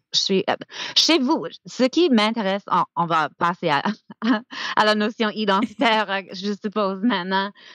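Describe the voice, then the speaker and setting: Long, frequent pauses break up this woman's speech at a fairly slow pace. Her intonation is lively. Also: medium pitch for a woman. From US South, Georgia. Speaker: francophone studies scholar and teacher. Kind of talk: podcast interview. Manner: halting, many fillers.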